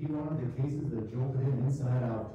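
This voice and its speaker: A man with an American accent speaks at a moderate pace and fairly even intonation. Strong room echo and noticeable background noise fill the recording. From Minnesota. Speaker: writer, former surgeon. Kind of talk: reading aloud. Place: stage.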